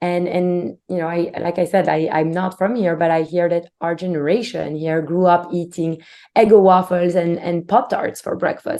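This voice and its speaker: With a Belgian accent and a dark, mellow tone, the speaker keeps a moderate pace, fairly even intonation, and hardly any pauses. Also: woman, fairly low pitch for a woman. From Belgium. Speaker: company CEO. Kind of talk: interview.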